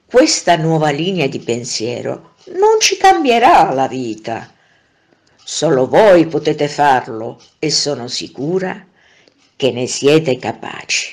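A very slow pace with long, frequent pauses. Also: woman, very deep, low pitch for a woman, lively intonation. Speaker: narrator. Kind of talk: motivational monologue.

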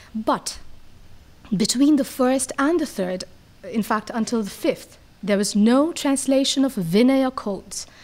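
Speaking at a fairly slow pace, a woman uses a high voice with lively intonation. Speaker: young scholar of Buddhist history. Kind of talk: academic presentation. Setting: podium with audience. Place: hall. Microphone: podium.

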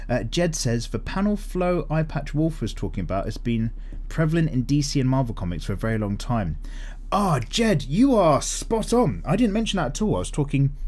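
A man talks at a fairly quick pace. His pitch makes big swings.

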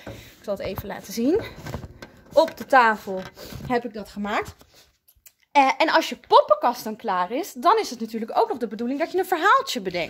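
Very wide pitch swings run through speech delivered at a moderate pace. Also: woman. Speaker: primary school teacher. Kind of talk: tutorial for children. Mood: warm, friendly, encouraging. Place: classroom. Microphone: phone near.

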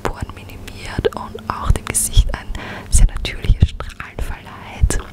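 Over music in the background, a woman whispers at a fairly slow pace. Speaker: beauty YouTuber. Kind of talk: ASMR makeup tutorial. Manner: whispered. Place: home room.

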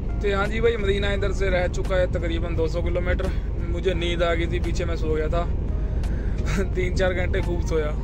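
A man's moderate-paced speech, dry with no echo, with music in the background. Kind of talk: casual vlog chat. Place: car. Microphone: phone near.

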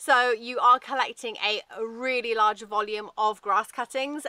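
A woman's high-pitched voice with a bright, sharp tone at a moderate pace, dry with no echo, over a quiet background. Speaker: presenter. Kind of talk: conversational product review. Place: garden.

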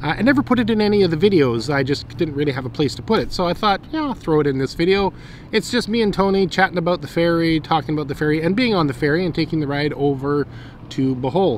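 Over light background noise, a man talks at a very fast pace in a dry sound with no echo. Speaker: travel vlogger. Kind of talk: casual vlog chat. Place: waterside.

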